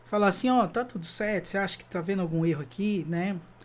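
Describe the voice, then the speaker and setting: There's a man speaking in a high pitch. He goes at a fairly quick pace. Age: 30s. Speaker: graphic designer and musician. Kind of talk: online workshop talk. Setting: online video talk. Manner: casual, frequent fillers.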